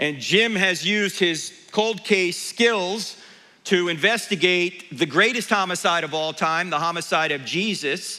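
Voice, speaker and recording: A man's bright, sharp voice, high in pitch with ordinary pitch variation, at a fairly slow pace and with audible room echo. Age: 60s. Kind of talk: conference talk to church audience. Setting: church stage with audience. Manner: animated.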